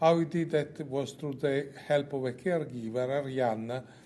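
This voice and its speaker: A man speaks in a dark, mellow tone. The room echo is audible. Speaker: oncologist. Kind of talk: conference lecture. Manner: slow.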